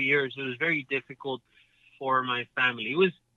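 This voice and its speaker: Speaking with a Spanish accent, a man uses a fairly high pitch at a moderate pace. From Mexico City. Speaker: professional golfer. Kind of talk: interview. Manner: halting, repetitive.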